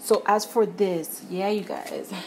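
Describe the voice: Slow pace and fairly even intonation, a slightly mellow tone, faint noise in the background. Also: woman, medium pitch for a woman.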